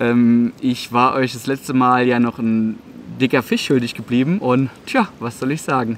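The speech moves at a moderate pace with ordinary pitch variation and faint background noise behind it. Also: man, medium pitch for a man.

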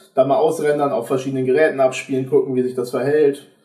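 This man speaks fairly quickly at a fairly high pitch with ordinary pitch variation. Room echo is audible against a quiet background. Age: 20s. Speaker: videographer; podcast guest. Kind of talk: casual chat. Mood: relaxed, humorous. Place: home room.

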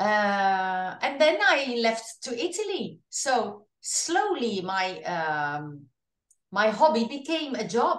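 In a very slow delivery, a woman with a Dutch accent speaks at a fairly high pitch with very wide pitch swings, with audible room echo and a quiet background. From Netherlands. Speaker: singer. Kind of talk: interview. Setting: video call.

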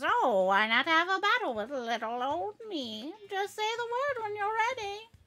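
In a put-on character voice, a woman sounds playful and bubbly, extremely high-pitched with very wide pitch swings, talking at a moderate pace with hardly any pauses. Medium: virtual streamer. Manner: playful, bubbly, folksy.

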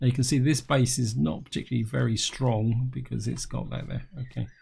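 Somewhat breathy and dark, mellow in tone, a man talks at a medium pitch with ordinary pitch variation. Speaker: gaming YouTuber. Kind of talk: gameplay commentary. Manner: casual, explanatory.

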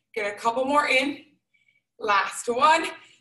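A woman's high voice with a bright, sharp tone and ordinary pitch variation, with a quiet background and audible room echo. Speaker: fitness instructor. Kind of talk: workout instruction. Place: gym. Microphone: video call.

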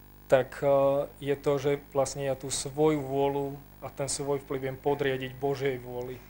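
Over light background noise, a man with a fairly high pitch and a dark, mellow tone speaks at a fairly slow pace with monotone, flat intonation. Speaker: panel member. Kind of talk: testimony. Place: hall. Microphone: handheld.

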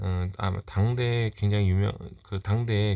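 Over a quiet background, a man with a fairly low pitch speaks at a very slow pace. His dark, mellow tone is somewhat breathy, with ordinary pitch variation. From South Korea. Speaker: collector YouTuber. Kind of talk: show-and-tell monologue. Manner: halting, many fillers. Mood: calm, reflective, nostalgic. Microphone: phone near.

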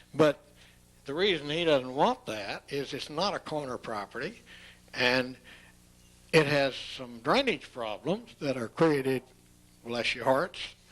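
A man with a Texan accent speaks at a fairly slow pace, his voice fairly high and his intonation lively. His loudness swings widely, and he leaves long, frequent pauses. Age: 70s. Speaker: property owner. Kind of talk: public hearing remarks. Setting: city council meeting. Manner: halting.

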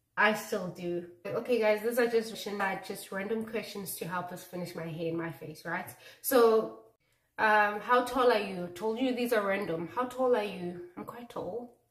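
Speaking at a moderate pace with ordinary pitch variation, a woman swings widely in loudness, her voice carrying audible room echo against a quiet background. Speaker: beauty vlogger. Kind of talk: casual vlog chat. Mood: relaxed, laughing. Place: bathroom. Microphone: phone near.

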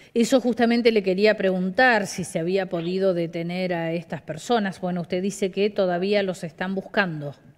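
At a moderate pace, a woman speaks with few pauses. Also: medium pitch for a woman, ordinary pitch variation.

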